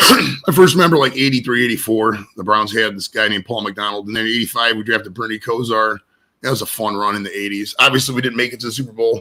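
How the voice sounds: At a fairly quick pace, a man speaks with a fairly low pitch, a bright, sharp tone and ordinary pitch variation.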